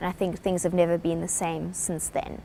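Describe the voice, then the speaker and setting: A woman is speaking. She has a South African accent. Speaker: business speaker. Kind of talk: lecture.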